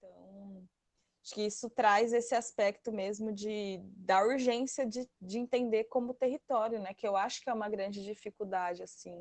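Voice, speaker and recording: A woman at a fairly high pitch and a moderate pace, with fairly even intonation, big swings in loudness, and a dry, close sound with no echo. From Brazil, Mato Grosso. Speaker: study group participant, agroecology worker and activist. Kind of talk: online study group discussion. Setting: online video call. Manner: halting, with many fillers and restarts.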